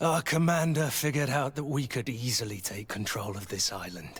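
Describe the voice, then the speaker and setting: This put-on character voice moves at a fairly quick pace with lively intonation. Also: man, medium pitch for a man. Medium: video game. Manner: barking military orders.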